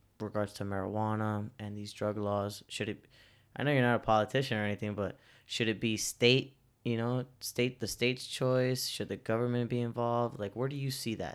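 A man speaks in a plain, everyday voice at a fairly low pitch and a moderate pace. His intonation is fairly even, on a very clean recording with a silent background. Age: 20s. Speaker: podcast host. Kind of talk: casual interview.

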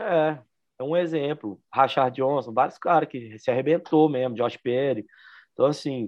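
Here a man talks at a moderate pace with a fairly high pitch. He has a plain, everyday voice with ordinary pitch variation. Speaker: podcast co-host, aggressive skater. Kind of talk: casual chat.

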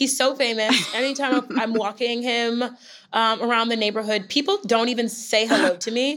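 Her pitch is fairly high with ordinary pitch variation, and the woman, who has an unremarkable speaking voice, speaks at a moderate pace. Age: 30s. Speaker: fitness instructor and makeup artist. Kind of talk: interview.

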